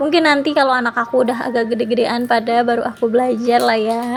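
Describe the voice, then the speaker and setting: Music plays in the background as a woman speaks at a high pitch and a fairly quick pace in a monotone, flat intonation. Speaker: homemaker vlogger. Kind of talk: vlog voiceover narration. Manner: casual, chatty.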